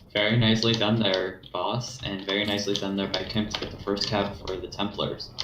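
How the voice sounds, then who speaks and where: Noticeable noise sits in the background. A man speaks with audible echo from the room. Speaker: co-commentator. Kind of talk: live commentary.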